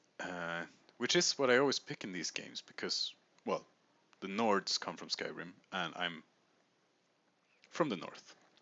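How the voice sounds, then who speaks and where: A man talks at a fairly slow pace with a Swedish accent. His pitch is medium. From Sweden. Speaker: video game streamer. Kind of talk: let's play commentary. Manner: casual, thinking aloud.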